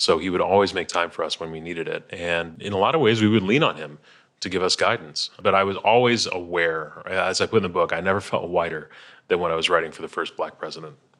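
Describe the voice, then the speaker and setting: Speaking at a very fast pace, a man with an American accent and a very deep, low pitch is heard in a very clean recording with a silent background. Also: ordinary pitch variation. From Chicago, US Midwest. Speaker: author, former speechwriter. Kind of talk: interview chat about his book.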